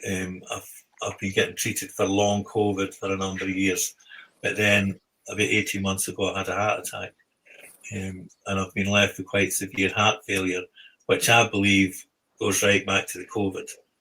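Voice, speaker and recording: A man speaks with a fairly low pitch and a bright, sharp tone. His delivery is monotone and flat at a moderate pace. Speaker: equine therapy psychotherapist. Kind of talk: podcast interview. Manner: hesitant, many fillers.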